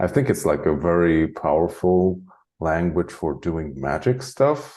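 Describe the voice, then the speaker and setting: Speaking at a fairly slow pace, a man with a Hungarian accent uses lively intonation. His pitch is very deep and low, and his tone dark and mellow. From Hungary (Transylvania). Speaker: spiritual channeler. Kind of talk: interview conversation. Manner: casual, many filler likes.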